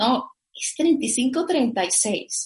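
A somewhat breathy woman's voice. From Venezuela, Caracas. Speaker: cannabis entrepreneur. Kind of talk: interview.

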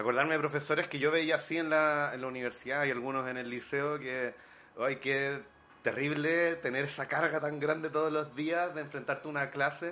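With a Chilean accent, a man talks at a moderate pace in a fairly high pitch and monotone, flat intonation. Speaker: film director and film teacher. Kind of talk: casual chat.

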